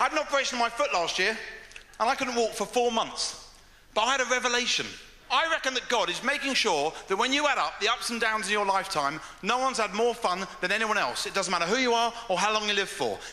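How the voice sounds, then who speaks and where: Very fast and in a raised, projected voice, a man with an English accent speaks at a high pitch with ordinary pitch variation over noticeable background noise. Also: very even loudness. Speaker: stand-up comedian. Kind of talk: stand-up. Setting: stage with audience.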